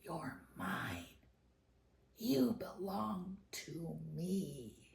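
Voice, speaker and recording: A put-on character voice, growling and raspy at a middle pitch. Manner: possessive, menacing.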